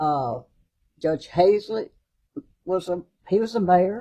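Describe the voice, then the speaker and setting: A woman with a Mississippi accent speaks very slowly in a fairly low, dark, mellow voice with lively intonation. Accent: Mississippi Southern. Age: 80s+. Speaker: judge. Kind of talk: casual chat.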